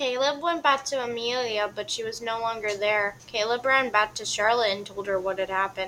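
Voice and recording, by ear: The pitch varies in an ordinary way. The speaker is reading aloud in a natural voice.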